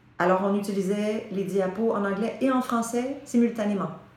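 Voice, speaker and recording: Speech comes at a fairly slow pace amid noticeable background noise and audible room echo. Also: woman. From Quebec. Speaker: voice teacher. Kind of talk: interview.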